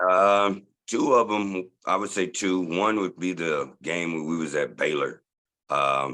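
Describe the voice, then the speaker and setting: A man speaks loud, at a very deep, low pitch, with a bright, sharp tone, ordinary pitch variation and a fairly slow pace. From Dallas, Texas (born in Tulsa, moved at about age 11). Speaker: sports superfan. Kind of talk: casual interview chat.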